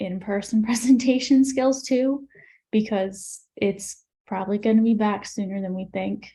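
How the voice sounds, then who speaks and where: Soft-spoken and somewhat breathy, a woman with a medium pitch and a dark, mellow tone talks at a moderate pace with fairly even intonation. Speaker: public health graduate. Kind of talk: panel discussion.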